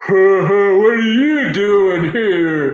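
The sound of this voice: A bellowing put-on character voice from a man, pitched high.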